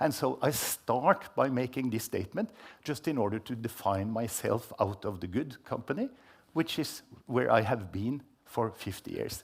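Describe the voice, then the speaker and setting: A somewhat breathy man with lively intonation at a moderate pace, on a very clean recording with a silent background. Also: medium pitch for a man. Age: 70s. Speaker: scientist and report co-author. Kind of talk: panel talk.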